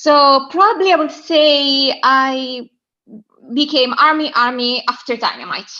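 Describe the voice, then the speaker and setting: This woman speaks at a fairly slow pace in a high voice, with an Italian accent. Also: ordinary pitch variation. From southern Italy. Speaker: caller. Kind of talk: casual chat. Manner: halting.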